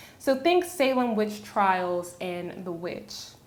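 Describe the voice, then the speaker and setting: In a Virginia accent, a woman speaks at a fairly slow pace with lively intonation. Her pitch is fairly high, and audible room echo surrounds her voice. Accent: Southern US (Virginia). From US South, Virginia. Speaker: YouTuber. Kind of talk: casual explainer vlog. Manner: casual.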